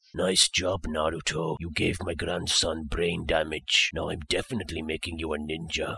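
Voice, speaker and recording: In a very deep, low voice, a man speaks in a flat monotone. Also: moderate pace. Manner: deadpan, sarcastic, weary.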